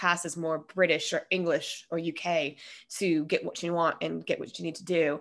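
With an American accent, a woman speaks at a moderate pace in a fairly low pitch, a plain, everyday voice over a quiet background. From US West, Colorado. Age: 30s. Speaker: podcast host. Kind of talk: casual interview chat. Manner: rambling, many fillers.

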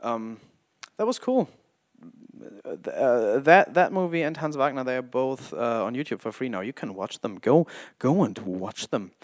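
A man with a German accent speaks at a moderate pace and medium pitch, with lively intonation and long, frequent pauses. The sound is dry and close with no echo, on a very clean recording with a silent background. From Germany. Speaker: independent filmmaker and podcaster. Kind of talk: casual solo podcast monologue. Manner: halting, stumbles over words.

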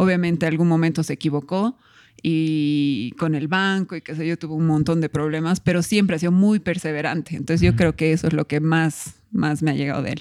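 A woman's very deep, low voice at a fairly quick pace with fairly even intonation, on a very clean recording with a silent background. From Bolivia (La Paz, raised in Cochabamba). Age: 30s. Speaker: food entrepreneur and food blogger. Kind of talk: casual interview.

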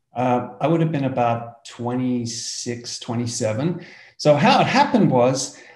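With an Australian accent and a dark, mellow tone, a man talks at a very slow pace with fairly even intonation. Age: 60s. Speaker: entrepreneur. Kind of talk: casual interview.

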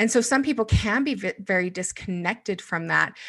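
A woman's bright, sharp tone with vocal fry, at a moderate pace over a quiet background. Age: 40s. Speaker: business coach. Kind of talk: interview conversation.

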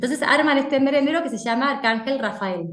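A woman speaks with an Argentine accent at a high pitch and a fairly quick pace. The room echo is audible. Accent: Rioplatense Argentine Spanish. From Buenos Aires, Argentina. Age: 40s. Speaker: food inspector and nutritionist. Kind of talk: casual chat.

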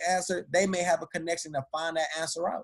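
A man speaks at a very fast pace. His pitch is high. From Detroit, Michigan. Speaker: motivational speaker. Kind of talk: interview testimony.

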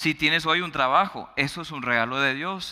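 Speaking at a moderate pace, a man has a bright, sharp tone, a fairly high pitch, and lively intonation. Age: 30s. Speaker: pastor. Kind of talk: sermon.

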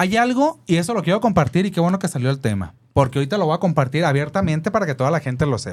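This man talks at a very fast pace with hardly any pauses, his fairly high pitch carried by lively intonation. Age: 30s. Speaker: content creator and event host. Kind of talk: interview.

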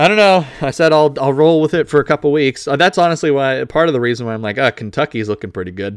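In an American accent, a man with a fairly high pitch and lively intonation talks very fast with hardly any pauses, the sound dry and close with no echo on a very clean recording with a silent background. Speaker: podcast co-host. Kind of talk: casual banter.

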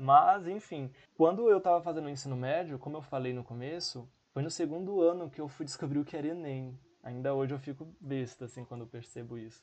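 Moderate in pace, this is a plain, everyday voice. Its pitch varies in an ordinary way. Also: man. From São Paulo, Brazil. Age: 20s. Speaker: podcast co-host, physics graduate. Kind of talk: casual chat.

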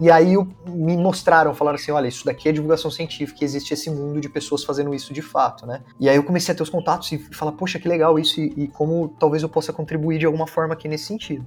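A man talks very fast at a fairly high pitch in a monotone, flat intonation with hardly any pauses. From Brazil, Campinas (São Paulo state). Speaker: scientist, researcher and science communicator. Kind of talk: casual interview.

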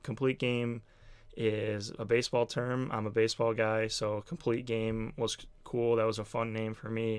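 A man's unremarkable speaking voice with an American accent, medium in pitch, at a moderate pace with fairly even intonation, on a very clean recording with a silent background. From Buffalo, New York, US. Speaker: podcast host, sports writer. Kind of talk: solo podcast monologue. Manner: casual, with frequent fillers.

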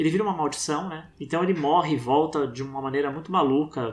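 With ordinary pitch variation, a man speaks very fast. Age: 40s. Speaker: documentary filmmaker. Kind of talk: casual interview.

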